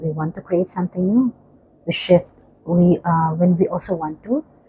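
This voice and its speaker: A soft-spoken woman's fairly low voice, relaxed in tone, with fairly even intonation. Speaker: spiritual healing coach. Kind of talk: guided breathing and healing talk. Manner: soft, relaxed; slow counting pace.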